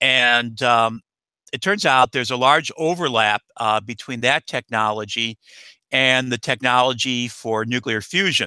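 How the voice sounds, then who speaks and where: A man with an American accent speaks at a fairly slow pace in a medium pitch, his tone bright and sharp with ordinary pitch variation. The sound is dry and close with no echo, on a very clean recording with a silent background. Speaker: nuclear energy expert. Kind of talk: interview Q&A. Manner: halting, many fillers.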